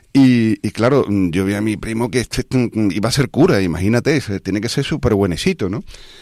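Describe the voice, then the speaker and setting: A man talks with hardly any pauses and ordinary pitch variation. The recording is very clean with a silent background, and the sound is dry and close with no echo. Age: 60s. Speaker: radio host. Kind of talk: casual chat. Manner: halting.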